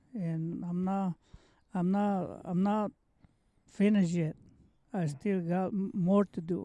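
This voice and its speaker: A man's high-pitched voice with a Mexican accent and a dark, mellow tone, at a very slow pace with long, frequent pauses and fairly even intonation, dry and close with no echo. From Mexico. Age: 70s. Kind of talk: interview answer. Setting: outdoors.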